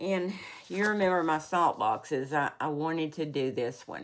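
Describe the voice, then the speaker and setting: A woman with a fairly low pitch speaks at a fairly slow pace in a very clean recording with a silent background. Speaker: cross-stitch vlogger. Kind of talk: casual show-and-tell vlog. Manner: halting, self-correcting.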